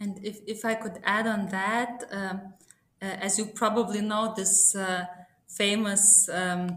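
With a Lithuanian accent, a woman speaks very slowly at medium pitch in a bright, sharp tone, her intonation fairly even, with audible room echo. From Lithuania, small town. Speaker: sustainability consultant. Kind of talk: podcast interview.

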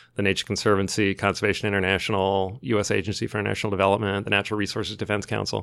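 Speaking very fast, a man with a fairly low pitch and vocal fry keeps a monotone, flat intonation on a very clean recording with a silent background. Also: hardly any pauses. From US Midwest, moved around a lot. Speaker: environmental strategy consultant. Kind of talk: interview.

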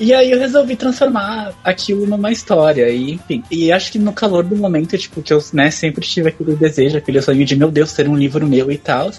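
Moving at a fairly quick pace with hardly any pauses, a man speaks in a high voice that swings very widely in pitch. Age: 20s. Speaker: author. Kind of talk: casual chat.

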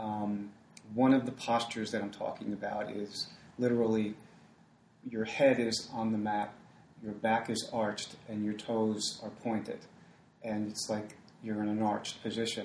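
Over noticeable background noise, a man talks with a fairly low pitch and monotone, flat intonation. His pace is moderate, broken by long, frequent pauses. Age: 60s. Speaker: yoga teacher. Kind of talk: interview.

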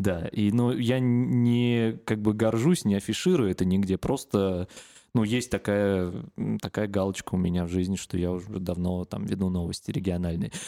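Against a silent background in a very clean recording, a man with a plain, everyday voice talks at a moderate pace and a fairly low pitch, with ordinary pitch variation. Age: 30s. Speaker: podcast host, regional radio host. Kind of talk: casual chat.

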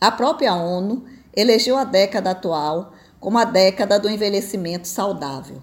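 Marked by a plain, everyday voice, a woman speaks at medium pitch and a moderate pace with lively intonation. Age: 60s. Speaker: retired tax auditor and business mentor. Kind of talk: opinion commentary.

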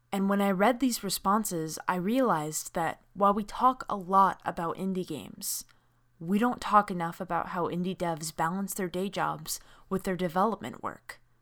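A woman speaks in an ordinary speaking voice at medium pitch, with ordinary pitch variation and a moderate pace. The recording is very clean, with a silent background. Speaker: podcast host and games journalist. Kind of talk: scripted narration then casual panel discussion.

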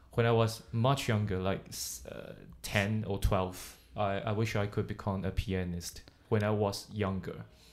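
Using an ordinary speaking voice, a man talks fairly slowly at a fairly low pitch, with fairly even intonation. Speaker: English teacher podcast host. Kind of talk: casual bilingual chat.

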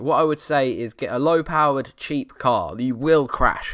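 The recording is very clean with a silent background as a man speaks in an Essex accent. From Essex, England. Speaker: car enthusiast podcast host and YouTuber. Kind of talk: solo casual chat answering listener questions. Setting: home setup at computer desk in living room.

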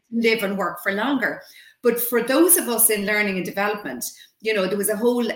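A woman speaks with an Irish accent at a medium pitch. Room echo is audible. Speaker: communications trainer and consultant. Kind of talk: interview.

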